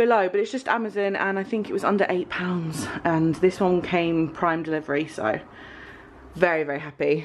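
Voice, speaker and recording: A woman with an English accent speaks at a moderate pace, her pitch fairly low with ordinary variation. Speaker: lifestyle vlogger. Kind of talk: casual vlog talk.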